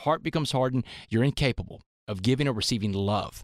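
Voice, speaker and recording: A man with a Texan accent, ordinary pitch variation, and a dry, close sound with no echo. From US South, Port Arthur, Texas. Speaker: motivational speaker. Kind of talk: interview storytelling. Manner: animated.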